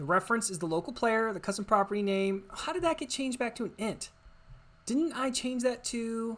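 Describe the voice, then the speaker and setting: A woman with an unremarkable speaking voice, fairly high in pitch, with lively intonation at a fairly quick pace on a very clean recording against a silent background. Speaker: game development tutorial creator. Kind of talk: screen-recorded coding tutorial. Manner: casual, thinking aloud with fillers.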